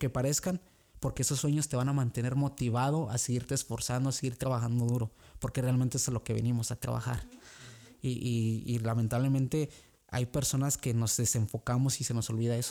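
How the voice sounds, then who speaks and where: Fairly quick and very even in loudness, a man talks at a medium pitch with fairly even intonation and a dark, mellow tone. The recording is very clean, with a silent background. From Mexico, Guanajuato. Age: 20s. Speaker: immigrant worker. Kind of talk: casual interview. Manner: halting, many repetitions.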